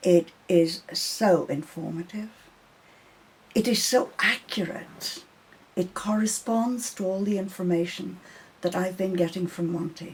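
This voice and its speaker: A woman speaks in a somewhat breathy voice with fairly even intonation. She leaves long, frequent pauses. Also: medium pitch for a woman, fairly slow pace. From Ireland. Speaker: interviewer. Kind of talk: interview. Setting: her home.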